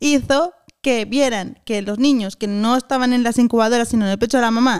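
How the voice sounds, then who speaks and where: Her pitch fairly high with ordinary variation, a woman speaks in a dry, close recording with no echo. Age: 40s. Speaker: podcast co-host. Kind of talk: casual chat.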